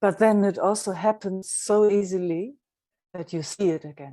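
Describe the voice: A woman's medium-pitched voice with a dark, mellow tone. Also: ordinary pitch variation, moderate pace.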